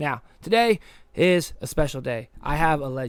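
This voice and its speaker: A man's voice swings very widely in pitch. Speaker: podcast host. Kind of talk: casual chat.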